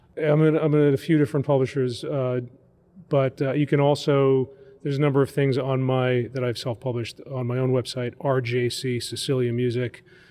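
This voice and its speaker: An American-accented man of medium pitch, talking fairly quickly in a monotone, flat way over noticeable background noise. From Long Island, New York. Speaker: cathedral music director and composer. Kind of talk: radio interview. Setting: on location at a seminary. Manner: casual, with many fillers.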